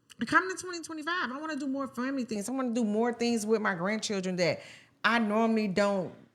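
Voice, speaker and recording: Against noticeable background noise, a woman speaks very fast at a fairly high pitch with lively intonation. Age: 50s. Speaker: podcast co-host. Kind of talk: casual chat.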